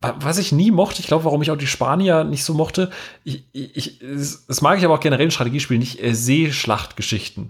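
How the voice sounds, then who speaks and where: This man has a fairly high pitch and a somewhat breathy voice. He talks at a fairly quick pace with ordinary pitch variation. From rural Germany. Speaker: podcast host. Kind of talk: casual chat.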